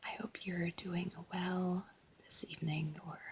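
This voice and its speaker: At a fairly slow pace, a soft-spoken voice comes through over noticeable background noise. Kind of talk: ASMR soft-spoken chatter while doing a craft. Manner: soft-spoken, chatty.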